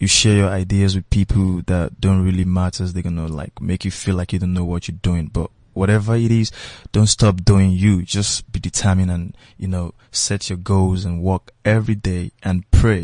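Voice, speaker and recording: In a dry, close recording with no echo and a quiet background, a man with a Nigerian accent speaks at a moderate pace in a very deep, low pitch, his tone dark and mellow and his intonation monotone and flat. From Nigeria, Lagos. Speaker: musician. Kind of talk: casual interview chat.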